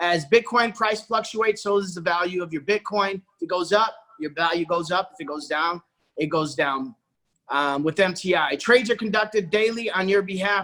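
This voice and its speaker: A man with a high voice speaks in a raised, projected manner. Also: ordinary pitch variation, moderate pace. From Puerto Rico. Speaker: network marketing presenter. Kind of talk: sales pitch. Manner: animated.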